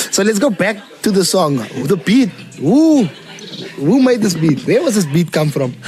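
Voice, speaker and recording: A man's high voice at a moderate pace, with very wide pitch swings, very even loudness, long, frequent pauses and noticeable background noise. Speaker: podcast host. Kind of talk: casual interview chat.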